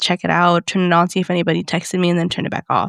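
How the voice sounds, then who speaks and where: The speech comes at a very fast pace. The sound is dry and close with no echo, in a very clean recording with a silent background. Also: woman. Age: 30s. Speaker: podcast co-host. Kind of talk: casual chat.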